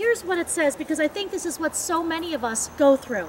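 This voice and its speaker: A woman speaks at a high pitch. The sound is dry with no echo, over light background noise. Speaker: speaker. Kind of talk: devotional talk. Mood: warm, earnest. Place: open country. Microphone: camera far.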